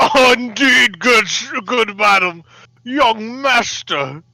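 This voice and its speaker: A put-on character voice at a fairly high pitch, delivered at a very slow pace. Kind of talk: posh, affected. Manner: put-on, pompous.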